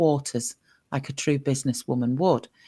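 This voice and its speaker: A woman speaks with an English accent on a very clean recording with a silent background. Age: 50s. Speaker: podcast host. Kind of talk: casual chat.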